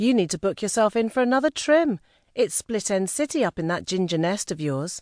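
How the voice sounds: A woman puts on a squeaky character voice in an Essex accent at medium pitch. Her pitch swings very widely at a fairly quick pace.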